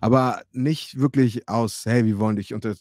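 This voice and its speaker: Speaking at a fairly slow pace in an animated tone, a man shows ordinary pitch variation, with a quiet background and a dry sound that has no echo. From Hamburg, Germany. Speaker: former American football player and streamer; streamer. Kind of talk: live stream storytelling. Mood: relaxed, friendly, occasionally laughing. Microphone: studio mic.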